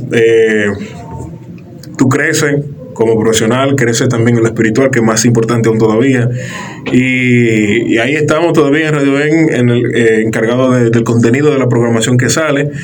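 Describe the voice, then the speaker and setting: A man with a medium pitch talks at a moderate pace with fairly even intonation and very even loudness, while audible room echo and noticeable background noise fill the recording. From Dominican Republic, La Romana. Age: 30s. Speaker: radio announcer and content producer. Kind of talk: interview conversation.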